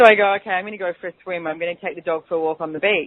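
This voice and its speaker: Using ordinary pitch variation, a woman with an Australian accent talks at a medium pitch. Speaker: radio host and business mentor. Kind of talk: radio talk show with guided clearing statements. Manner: fast; animated.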